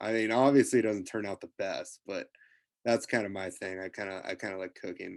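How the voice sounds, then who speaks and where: A man with a Midwestern American accent speaks with fairly even intonation against a quiet background. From US Midwest, rural Nebraska. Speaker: college football player. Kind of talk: interview. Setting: video call.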